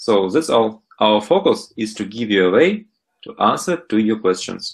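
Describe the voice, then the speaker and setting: With a strong Russian accent, a man speaks at medium pitch. His intonation is lively. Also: moderate pace. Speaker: startup founder. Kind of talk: interview. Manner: hesitant with fillers.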